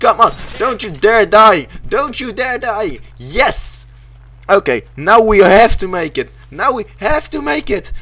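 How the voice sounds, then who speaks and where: Using a raised, projected voice, a man with a high pitch speaks at a very slow pace with very wide pitch swings. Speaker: gaming YouTuber. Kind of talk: casual gameplay commentary. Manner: excitable, swearing when frustrated.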